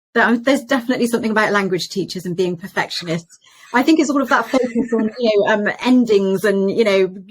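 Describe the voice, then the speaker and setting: Speaking at a very fast pace, a woman with a British accent uses a fairly high pitch and ordinary pitch variation. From Britain. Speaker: podcast host, interior designer. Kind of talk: interview.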